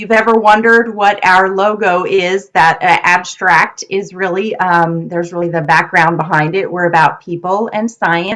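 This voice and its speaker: A woman with a normal speaking voice talks with fairly even intonation. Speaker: nonprofit program director and research presenter. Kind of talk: presentation on research. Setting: video call.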